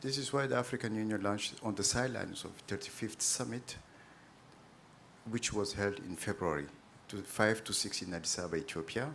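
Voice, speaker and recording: A man with a French accent speaks in a fairly low voice. His pace is moderate and his pitch varies in an ordinary way. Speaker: ambassador. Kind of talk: formal panel remarks.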